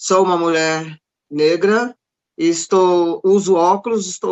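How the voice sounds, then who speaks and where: This woman's voice sits fairly low. She talks very slowly. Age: 70s. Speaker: lawyer, panelist. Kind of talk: panel talk. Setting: panel event.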